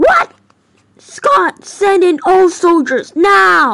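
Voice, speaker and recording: A squeaky, put-on character voice at an extremely high pitch and a very slow pace. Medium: toy film. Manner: casual then urgent shouting.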